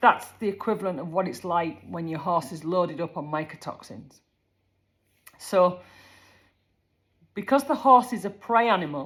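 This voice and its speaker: In a Yorkshire accent, a woman with a fairly low voice speaks at a moderate pace with lively intonation, big swings in loudness, and long, frequent pauses. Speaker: horse care advisor. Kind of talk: casual informational talk. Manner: conversational.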